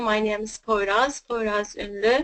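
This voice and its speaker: A woman speaks in a Turkish accent. Her voice is fairly high-pitched, with a bright, sharp tone. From Turkey. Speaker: network marketing distributor, mother. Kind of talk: personal success story. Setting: webinar.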